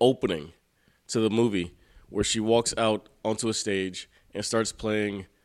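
Man with an unremarkable speaking voice at a moderate pace, against a quiet background. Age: 40s. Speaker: sports radio host. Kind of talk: casual chat. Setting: studio.

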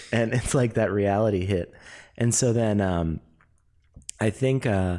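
On a very clean recording with a silent background, a man with an American accent speaks at a moderate pace in a dark, mellow tone with ordinary pitch variation. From Los Angeles. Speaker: actor and improviser. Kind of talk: casual chat.

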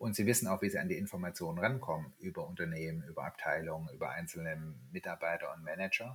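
The man talks at a very fast pace. He hardly pauses at all. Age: 50s. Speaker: startup founder. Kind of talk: interview. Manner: hesitant, many filler words.

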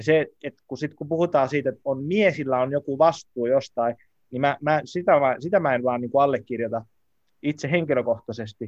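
A man speaks at a moderate pace with an unremarkable speaking voice and a fairly high pitch. His pitch variation is ordinary, and the sound is dry and close with no echo. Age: 30s. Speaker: podcast host. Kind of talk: casual chat.

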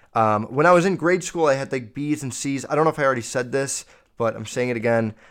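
Speaking at a very fast pace, a man has a medium pitch with ordinary variation and an animated tone. The recording is very clean, with a silent background. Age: 20s. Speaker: solo podcast host. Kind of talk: casual rant monologue. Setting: home recording with background noise.

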